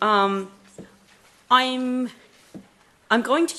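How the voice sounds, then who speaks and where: A woman projects a raised voice with an American accent. Her pitch is high, with ordinary variation. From United States. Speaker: therapy practitioner and parent speaker. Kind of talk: conference talk. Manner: halting, many fillers.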